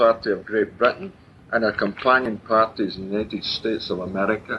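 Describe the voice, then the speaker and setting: The speaker has a Glaswegian accent and talks at a moderate pace. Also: man. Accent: Glaswegian Scottish. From Scotland, Glasgow and Clydebank area. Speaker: political speaker. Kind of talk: public political talk.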